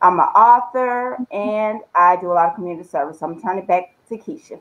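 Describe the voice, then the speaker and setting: Her voice is an unremarkable speaking voice, medium in pitch, and this woman talks at a fairly quick pace with lively intonation and big swings in loudness. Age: 40s. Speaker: education administrator and author. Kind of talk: casual chat. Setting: video call.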